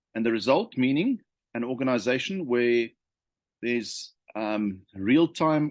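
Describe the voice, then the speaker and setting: This man talks at a medium pitch and moderate pace with ordinary pitch variation, the sound dry and close with no echo over a quiet background. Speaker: leadership consultant. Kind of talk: unscripted talk to camera. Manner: hesitant, many fillers and repetitions.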